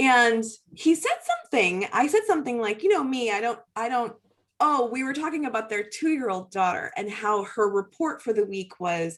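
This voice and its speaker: A woman with a fairly high pitch speaks in an animated tone at a moderate pace. Her voice moves in very wide pitch swings. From western Massachusetts. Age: 40s. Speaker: yoga studio owner. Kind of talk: interview.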